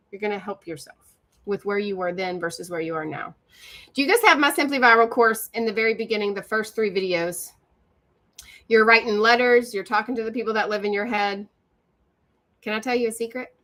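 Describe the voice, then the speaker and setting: A woman with an Appalachian accent, a bright, sharp tone, and fairly high pitch, at a fairly quick pace with long, frequent pauses and ordinary pitch variation. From West Virginia. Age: 40s. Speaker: social media coach. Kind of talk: live stream. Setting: live stream on video call. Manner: animated.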